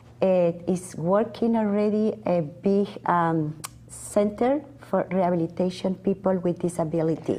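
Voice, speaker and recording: A woman's fairly low, very evenly loud voice with a Peruvian accent, ordinary pitch variation and a fairly slow pace. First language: Spanish. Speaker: nonprofit board member. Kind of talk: studio interview. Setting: studio. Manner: halting.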